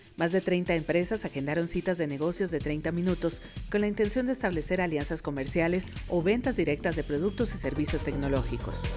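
Music sits behind a woman with a fairly low pitch and lively intonation. She speaks at a fairly quick pace. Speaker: voice-over narrator for a television report. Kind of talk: corporate narration, TV news report voiceover.

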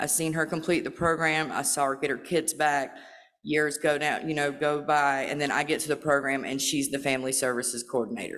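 This woman speaks at a fairly quick pace in a very deep, low pitch, her intonation monotone and flat, with hardly any pauses. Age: 40s. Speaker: recovery program participant. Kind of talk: testimony. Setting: stage with audience. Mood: earnest, emotional. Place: hall. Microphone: podium.

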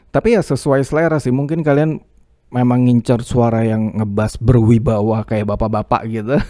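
A man's medium-pitched voice with a dark, mellow tone, ordinary pitch variation, and a moderate pace. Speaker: YouTuber reviewing microphones as a hobbyist. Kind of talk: tutorial. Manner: casual.

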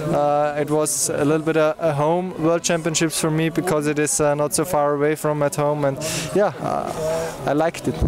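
At a moderate pace, a man speaks with very even loudness and monotone, flat intonation, the sound dry with no echo and noticeable background noise behind him. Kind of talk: interview answer. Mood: happy, proud, relaxed. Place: stadium.

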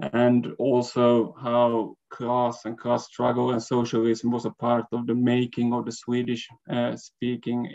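Against a quiet background, a man speaks in a dark, mellow tone with flat, monotone intonation. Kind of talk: lecture. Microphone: video call.

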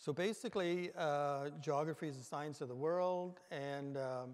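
The background is quiet as a man speaks with fairly even intonation. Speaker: conference presenter. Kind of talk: lecture. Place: hall. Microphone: podium.

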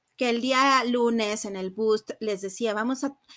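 Over a silent background in a very clean recording, a woman with a fairly high pitch speaks at a fairly slow pace with fairly even intonation. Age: 30s. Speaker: psychotherapist and podcast host. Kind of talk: solo reflective podcast talk. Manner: halting, with many fillers.

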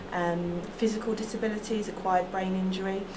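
The speech moves at a moderate pace with fairly even intonation. Noticeable background noise runs underneath. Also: woman. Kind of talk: interview answer. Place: office.

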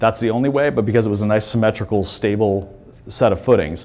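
A man talks, his pitch rising and falling in an ordinary way. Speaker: pinball hardware developer presenting. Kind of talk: conference presentation. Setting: stage with audience. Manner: halting, many fillers. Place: hall.

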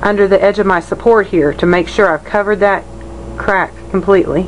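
A woman speaks at a medium pitch in a monotone, flat way. Noticeable background noise is present. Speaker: painter. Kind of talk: tutorial. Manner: halting.

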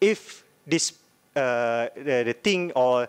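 The intonation is lively, and the background is quiet. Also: man. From Malaysia. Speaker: law student. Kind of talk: audience question. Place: hall. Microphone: podium.

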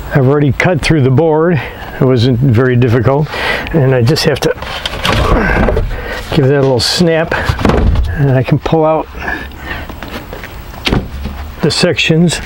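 A man speaks with long, frequent pauses and ordinary pitch variation. The sound is dry with no echo, over noticeable background noise. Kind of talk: tutorial. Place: garden.

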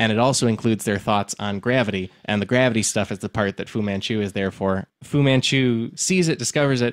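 A man talks fairly quickly at a medium pitch, with hardly any pauses and ordinary pitch variation. The recording is very clean with a silent background, and the sound is dry and close with no echo. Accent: American. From Illinois. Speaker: comedian podcast host. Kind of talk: casual chat. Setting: studio. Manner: animated.

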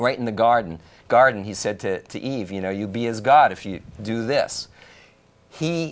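Here a man talks at a moderate pace, his pitch varying in an ordinary way. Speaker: call-in show host. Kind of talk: call-in talk show. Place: studio.

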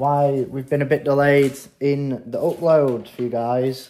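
A man speaks over light background noise. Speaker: car project vlogger. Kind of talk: casual vlog chat. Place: home room. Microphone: phone near.

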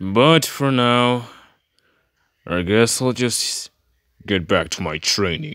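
A man's put-on character voice, rumbling at a medium pitch, very slow, with long, frequent pauses. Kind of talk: comic in-character reaction. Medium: voice reel. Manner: confused, grumbling, exasperated.

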